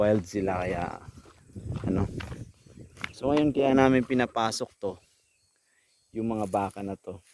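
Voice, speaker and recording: Soft-spoken and fairly low in pitch, a man talks at a fairly slow pace with ordinary pitch variation and long, frequent pauses. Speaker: cattle farmer vlogger. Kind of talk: casual vlog narration. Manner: soft-spoken, lowered voice.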